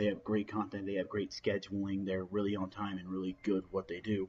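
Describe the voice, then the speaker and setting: Each line comes out monotone and flat. It proceeds at a moderate speed. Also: man. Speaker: gaming clan YouTuber. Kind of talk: casual vlog talk. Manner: halting.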